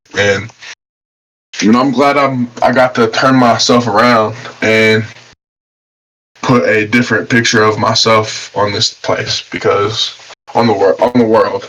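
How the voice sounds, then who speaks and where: A man with an Appalachian accent talks at a fairly slow pace. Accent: Appalachian American. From West Virginia. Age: 20s. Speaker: professional boxer. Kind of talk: casual interview. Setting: podcast.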